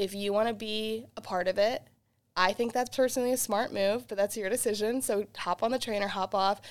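A woman with an American accent speaks in an unremarkable speaking voice at a fairly high pitch, keeping a fairly quick pace and fairly even intonation on a very clean recording with a silent background. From Boston, US. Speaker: singer-songwriter. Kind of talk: radio interview.

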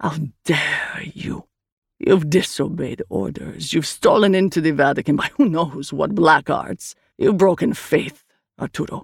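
A raspy, put-on character voice at a middle pitch and a moderate pace. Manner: angry, scolding.

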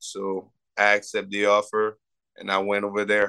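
A man with a French accent, fairly low-pitched, with a bright, sharp tone and flat, monotone delivery, in a dry, close recording with no echo and a quiet background. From Quebec City, Canada. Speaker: college football player. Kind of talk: interview.

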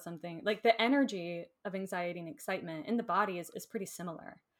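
An ordinary speaking voice moves at a fairly quick pace. It carries an American accent. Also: woman. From Florida. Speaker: Enneagram teacher. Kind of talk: casual interview. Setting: video call.

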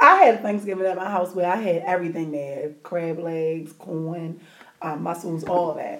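An animated tone with ordinary pitch variation, big swings in loudness and a moderate pace, plus audible room echo. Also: woman, fairly low pitch for a woman. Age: 30s. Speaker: podcast co-host. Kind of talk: casual chat.

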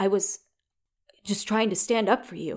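This female-sounding put-on character voice is shaky, sits at a medium pitch, and moves at a moderate pace.

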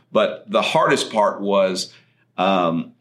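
This man's voice has a very deep, low pitch. He speaks with a West Texas accent. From far west Texas (Andrews). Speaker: chiropractor and health podcast host. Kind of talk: solo podcast monologue. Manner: conversational with frequent fillers.

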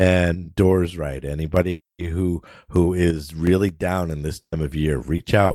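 This man's pitch is very deep and low, and he speaks at a moderate pace. The sound is dry and close with no echo, on a very clean recording with a silent background. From New Hampshire, US. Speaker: podcast co-host. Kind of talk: casual chat.

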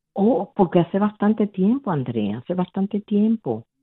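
This woman's voice swings very widely in pitch. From Dominican Republic. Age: 60s. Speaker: caller. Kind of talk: radio call-in.

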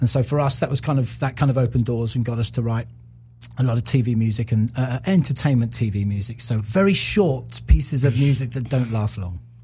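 A man talks at a fairly quick pace in a dark, mellow tone at a medium pitch. His voice is somewhat breathy, with normal pitch movement. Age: 50s. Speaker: music producer and former radio presenter. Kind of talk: casual chat.

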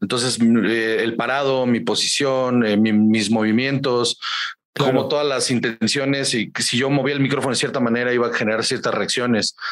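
A man at medium pitch, monotone and flat, moderate in pace, with very even loudness. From Guaymas, Sonora, northern Mexico. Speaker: stand-up comedian. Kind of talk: casual interview.

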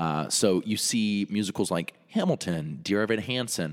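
In a very clean recording with a silent background, a man with an American accent talks at a fairly slow pace. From North Carolina. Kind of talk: casual chat.

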